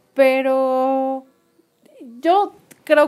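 A woman with a Mexican accent talks in a high voice with ordinary pitch variation. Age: 30s. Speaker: podcast co-host. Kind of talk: casual chat.

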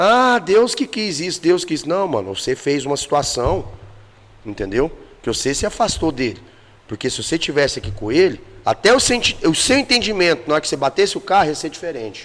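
At a fairly quick pace, a man talks at a high pitch with very wide pitch swings. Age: 40s. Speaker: dance teacher and singer. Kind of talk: casual chat.

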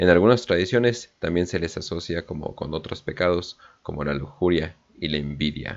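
The man's pitch is very deep and low, with ordinary variation. He speaks at a moderate pace. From northern Mexico. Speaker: podcast host. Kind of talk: casual chat; reading aloud. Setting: livestream.

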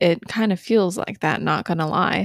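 Speaking at a moderate pace with an American accent, a woman has an ordinary speaking voice and ordinary pitch variation. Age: 20s. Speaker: podcast host. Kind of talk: solo self-help podcast monologue. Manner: occasional stumbles and self-corrections.

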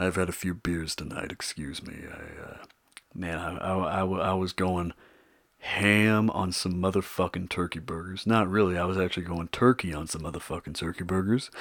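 With big swings in loudness, a man speaks at a moderate pace in a very deep, low pitch and fairly even intonation. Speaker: podcast host. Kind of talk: casual solo podcast monologue. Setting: home closet studio. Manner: quiet, improvised, halting with fillers.

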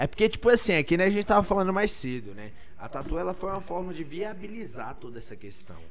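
Very fast and animated, a man with a high-pitched voice speaks with lively intonation and big swings in loudness. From Brasília, Brazil. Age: 20s. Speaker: architect and tattoo artist. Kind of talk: casual chat.

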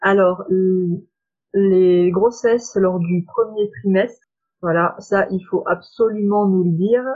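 Speaking very slowly, a woman keeps a medium pitch and fairly even intonation. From France, Saône-et-Loire. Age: 20s. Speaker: reflexologist. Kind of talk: interview. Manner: hesitant, many fillers.

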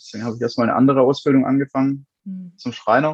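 A man rattles off words at a very fast pace, the sound dry and close with no echo. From Swabia, near Stuttgart. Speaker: funeral director. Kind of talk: interview.

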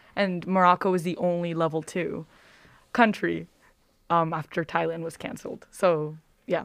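A woman with an American accent speaks at a fairly low pitch and a moderate pace, leaving long, frequent pauses. Her intonation is fairly even, and the recording is very clean with a silent background. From New York City (Queens). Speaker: college student. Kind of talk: interview.

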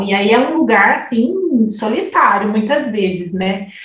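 A woman speaks at a fairly slow pace with lively intonation and a fairly high pitch, over noticeable background noise and audible room echo. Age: 20s. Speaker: psychologist. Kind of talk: casual chat.

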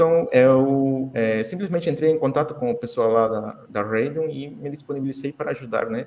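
Speaking in a Spanish accent, a man keeps a moderate pace with ordinary pitch variation. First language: Spanish (speaking Portuguese). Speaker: crypto community ambassador. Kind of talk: podcast interview.

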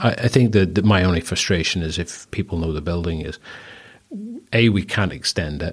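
Against a quiet background, a man speaks in a very deep, low pitch at a fairly quick pace. His voice is somewhat breathy, with ordinary pitch variation. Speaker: early-stage investor. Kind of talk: interview.

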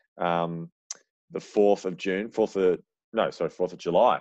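With an Australian accent, a man speaks at a fairly slow pace in a very deep, low pitch. His intonation stays fairly even over a quiet background. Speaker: athletics club podcast host. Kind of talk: casual podcast chat.

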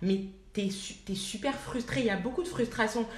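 A woman talks with ordinary pitch variation, and audible room echo surrounds her voice. Noticeable background noise runs underneath. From France, of Ivorian parents. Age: 20s. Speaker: management consultant. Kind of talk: casual chat.

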